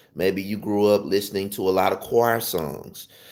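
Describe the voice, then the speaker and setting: With a Southern US accent, a man speaks at a medium pitch. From US South. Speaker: gospel piano teacher. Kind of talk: livestream tutorial talk. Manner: casual, conversational with fillers.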